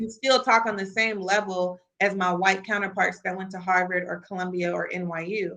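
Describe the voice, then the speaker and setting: A woman with a slight Midwestern accent speaks at a moderate pace with hardly any pauses, at a medium pitch. Her tone is bright and sharp, and her loudness swings widely. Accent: slight Midwest twang. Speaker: sports business executive. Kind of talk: podcast interview. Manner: animated.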